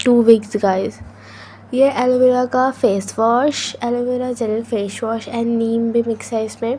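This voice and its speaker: Over noticeable background noise, a woman speaks at a very slow pace in a fairly high voice with monotone, flat intonation. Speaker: student vlogger. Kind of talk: vlog voice-over. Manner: can't speak softly due to cold.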